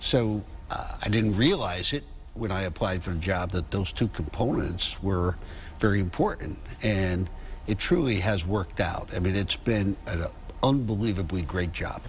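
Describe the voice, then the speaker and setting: With an American accent, a man talks at a moderate pace in a very deep, low voice that is somewhat breathy. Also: ordinary pitch variation. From Connecticut, New Haven. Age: 70s. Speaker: chamber of commerce president. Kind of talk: TV news interview. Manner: conversational, hesitant with fillers.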